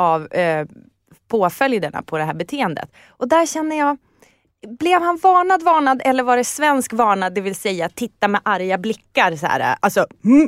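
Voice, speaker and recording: Her pitch swings very widely as this woman talks, captured in a very clean, dry, close recording with no echo and a silent background. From northern Sweden, Umeå area. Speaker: podcast guest. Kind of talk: casual chat.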